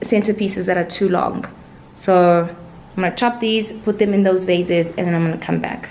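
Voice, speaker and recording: Light background noise sits behind speech delivered at a moderate pace. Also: woman. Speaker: lifestyle vlogger. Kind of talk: casual vlog chat. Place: home room. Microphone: phone near.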